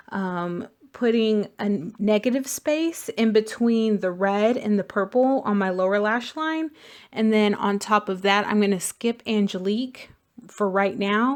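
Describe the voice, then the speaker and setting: A woman with an unremarkable speaking voice talks at a fairly slow pace, her fairly high pitch showing ordinary pitch variation. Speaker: beauty vlogger. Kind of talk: makeup tutorial.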